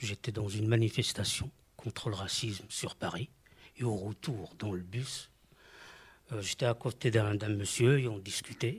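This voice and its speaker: In a very clean recording with a silent background, a man with a fairly low pitch and a somewhat breathy voice speaks at a fairly slow pace with fairly even intonation and long, frequent pauses. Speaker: mosaic artist and art therapist. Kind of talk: radio interview. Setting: studio.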